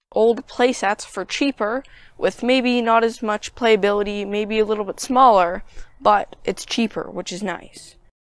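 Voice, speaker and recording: A woman with a normal speaking voice talks at a moderate pace and a fairly high pitch, with fairly even intonation. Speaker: toy reviewer. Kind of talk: casual product review to camera.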